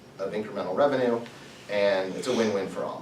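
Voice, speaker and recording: Amid noticeable background noise and audible room echo, a man with an American accent talks at a fairly quick pace. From US Midwest. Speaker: entrepreneur, guest speaker. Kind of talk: talk to students. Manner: fast.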